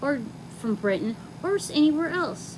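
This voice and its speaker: A woman's pitch swings very widely as she talks at a moderate pace amid noticeable background noise. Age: 40s. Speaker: video gamer. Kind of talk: monologue rant. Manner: animated.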